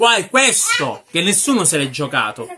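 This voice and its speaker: A man talks in a raised, projected voice with a high pitch and a bright, sharp tone. His pace is fairly slow, and there is light background noise. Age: 20s. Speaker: film reviewer. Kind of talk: ranting film review. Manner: animated. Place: home room. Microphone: phone near.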